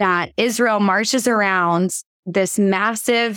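A woman's medium-pitched voice with fairly even intonation, dry and close with no echo, on a very clean recording with a silent background. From US South, Georgia. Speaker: worship leader and songwriter. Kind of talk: interview conversation.

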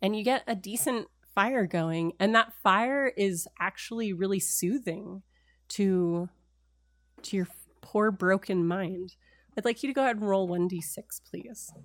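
A woman's ordinary speaking voice, medium in pitch, at a fairly slow pace with ordinary pitch variation, on a very clean recording with a silent background. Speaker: game master running a tabletop role-playing game. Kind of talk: tabletop role-playing game actual play, narrating and chatting. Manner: narrating, descriptive, conversational.

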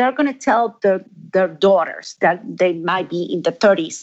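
At a fairly slow pace, a woman with an Argentine accent speaks with very wide pitch swings. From Argentina. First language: Spanish. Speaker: fabric company owner and designer. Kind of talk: interview. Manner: halting.

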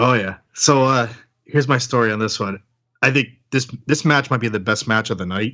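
A man talks at a medium pitch with a bright, sharp tone. The recording is very clean, with a silent background. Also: ordinary pitch variation, moderate pace. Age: 40s. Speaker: podcast host and guest. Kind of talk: casual chat.

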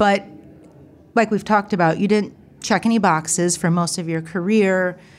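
A woman with a Midwestern US accent talks at a moderate pace in a medium pitch. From US Midwest (Ohio). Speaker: podcast host. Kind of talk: interview.

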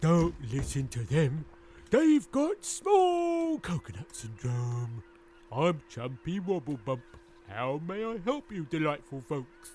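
Putting on a character voice, a man speaks fairly slowly in a fairly high pitch. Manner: polite, cheerful.

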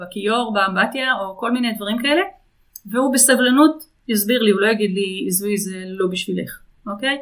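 A woman with an ordinary speaking voice talks at a fairly quick pace in fairly even intonation. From Israel. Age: 50s. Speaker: business consultant. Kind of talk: interview.

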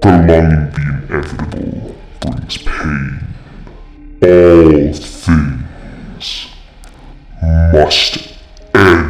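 A man uses a put-on character voice with a very deep, low pitch and audible echo. He speaks very slowly with long, frequent pauses. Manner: ominous.

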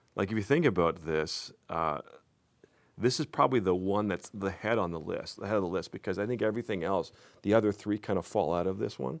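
A plain, everyday voice belongs to a man with a Canadian accent, fairly low pitch and ordinary pitch variation. His pace is fairly quick, and the recording is very clean against a silent background. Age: 40s. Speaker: youth pastor. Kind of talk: casual chat. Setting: studio.

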